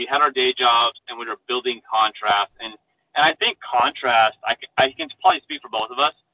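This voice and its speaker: In an American accent, a man with a normal speaking voice talks at a medium pitch and a moderate pace. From Arizona. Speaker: engineer and startup founder. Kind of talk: interview.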